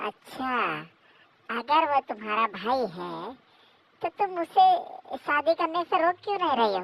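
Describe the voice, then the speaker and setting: A female-sounding, high-pitched cartoonish character voice speaks at a moderate pace with long, frequent pauses. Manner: scolding, indignant.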